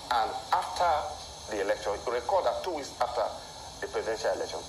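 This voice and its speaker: Noticeable background noise fills the clip. Audible room echo is also present. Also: man. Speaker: election analyst. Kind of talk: TV interview.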